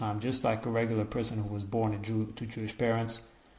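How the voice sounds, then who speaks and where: A man speaks at a medium pitch with an Israeli accent. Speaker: podcaster. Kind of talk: casual monologue. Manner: halting, many repetitions and fillers.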